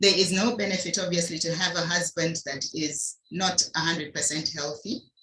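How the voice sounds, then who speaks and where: In a normal speaking voice, the speaker goes at a moderate pace with fairly even intonation and hardly any pauses. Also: woman, fairly low pitch for a woman. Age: 60s. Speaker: doctor and health product presenter. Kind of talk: health talk on a video call.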